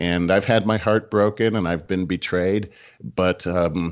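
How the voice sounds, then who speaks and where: Very deep and low, a man's voice with vocal fry moves at a moderate pace. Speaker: podcast co-host, sales leader. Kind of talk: casual chat.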